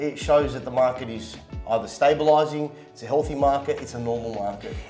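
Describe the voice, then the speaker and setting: Over music in the background, the speaker moves at a fairly quick pace with ordinary pitch variation and big swings in loudness. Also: man, medium pitch for a man. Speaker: real estate agent. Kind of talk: interview host questions.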